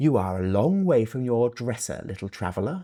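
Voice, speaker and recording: A man's put-on character voice, gravelly and croaky, at medium pitch and a moderate pace, on a very clean recording with a silent background. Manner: wise, calm.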